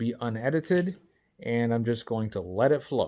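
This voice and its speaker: A man speaks at a medium pitch in a dark, mellow tone. The recording is very clean, with a silent background. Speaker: vlogger. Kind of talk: casual unscripted vlog monologue. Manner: halting, starts and stops.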